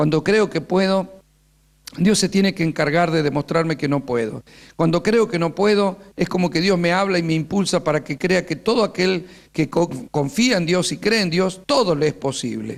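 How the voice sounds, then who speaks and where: Recorded very cleanly over a silent background, a man with a high pitch keeps his loudness very even. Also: ordinary pitch variation, moderate pace. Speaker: pastor and teacher. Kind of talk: sermon-style teaching workshop.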